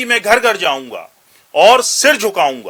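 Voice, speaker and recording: The voice is raised and projected, bright and sharp in tone, with lively intonation. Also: man. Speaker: news commentator. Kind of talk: news commentary narration.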